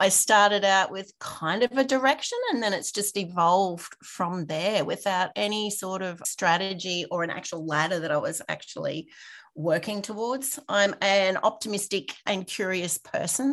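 At a moderate pace, a woman talks with an Australian accent. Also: medium pitch for a woman, ordinary pitch variation. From Queensland, Australia (Rockhampton). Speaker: innovation consultant. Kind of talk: interview.

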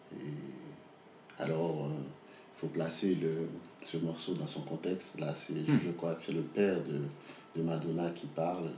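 A man's very deep, low voice, very slow and fairly even in intonation, with audible room echo. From Haiti, Port-au-Prince. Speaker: novelist. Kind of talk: interview. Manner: halting, with many repetitions and fillers.

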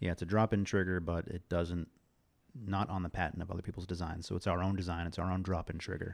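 This very clean recording has a silent background. A man speaks very fast in a very deep, low voice with monotone, flat intonation. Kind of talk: casual chat.

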